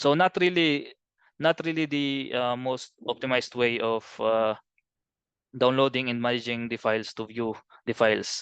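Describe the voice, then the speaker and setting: A man at medium pitch and moderate pace, ordinary pitch variation, dry, close sound with no echo, and a quiet background. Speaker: BIM trainer. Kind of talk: webinar presentation. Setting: video call. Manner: halting.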